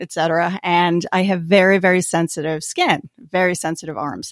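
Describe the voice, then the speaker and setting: The tone is energetic on a very clean recording with a silent background. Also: woman. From Albany, New York. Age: 50s. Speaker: entrepreneur, glove maker. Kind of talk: interview.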